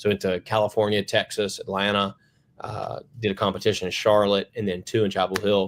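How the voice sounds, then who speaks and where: Delivered at a fairly quick pace, the speech has a Western North Carolina accent and monotone, flat intonation. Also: man, fairly low pitch for a man. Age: 30s. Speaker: plumbing company founder. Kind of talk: podcast interview. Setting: remote video call. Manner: casual, many fillers.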